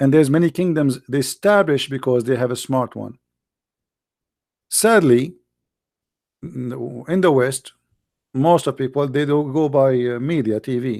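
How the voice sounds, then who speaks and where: A man with an Arabic accent talks at a moderate pace and medium pitch, with ordinary pitch variation. Long, frequent pauses break up his speech. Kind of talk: live commentary. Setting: live stream. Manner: animated.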